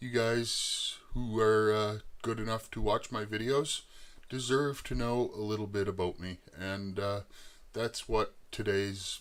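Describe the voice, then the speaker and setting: A man's fairly low voice in an Eastern Canadian accent, at a fairly slow pace with fairly even intonation. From Eastern Canada. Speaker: YouTuber, machinist. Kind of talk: personal life story to camera. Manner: halting, many filler words.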